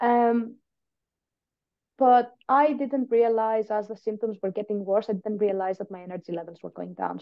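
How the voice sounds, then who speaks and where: Woman with a Greek accent and fairly even intonation. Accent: Greek, noticeable. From Greece. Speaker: patient and biomedical scientist. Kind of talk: podcast interview.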